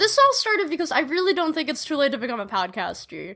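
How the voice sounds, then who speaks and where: Speaking with an American accent, a woman projects a raised voice with a bright, sharp tone and very wide pitch swings. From Chicago, US Midwest. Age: 20s. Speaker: singer-songwriter. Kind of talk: casual chat.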